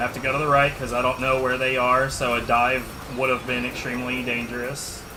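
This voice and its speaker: A man with an American accent, medium pitch, and monotone, flat intonation at a fairly quick pace, amid noticeable background noise and audible room echo. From Texas. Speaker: video game streamer. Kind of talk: casual livestream commentary. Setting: livestream.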